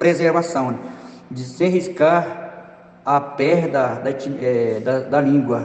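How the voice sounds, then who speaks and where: A man with an Amazonian accent speaks with ordinary pitch variation. There is noticeable background noise and audible room echo. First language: Tikuna (speaking Portuguese). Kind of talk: interview answers.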